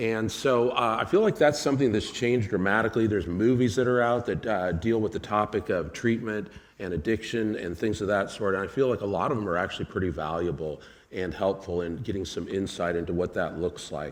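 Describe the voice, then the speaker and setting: Talking at a fairly quick pace, a man with an unremarkable speaking voice uses a fairly low pitch with ordinary variation. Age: 60s. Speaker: addiction counselor. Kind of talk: presentation.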